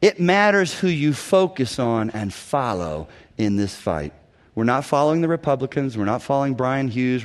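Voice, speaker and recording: Delivered at a fairly quick pace with lively intonation, it is a plain, everyday voice. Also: man. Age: 50s. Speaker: guest preacher. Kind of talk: sermon. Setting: church.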